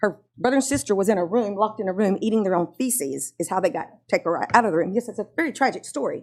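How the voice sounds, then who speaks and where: A woman talks very fast at a medium pitch in a Louisiana accent, her intonation lively. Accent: Southern US (Louisiana). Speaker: parent speaking at public comment. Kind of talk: public comment at board meeting. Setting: school board meeting.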